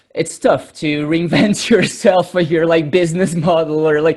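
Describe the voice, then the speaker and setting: A non-native accent shapes the speech. It moves at a moderate pace. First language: not English. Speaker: musician and tattoo artist. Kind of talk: panel discussion.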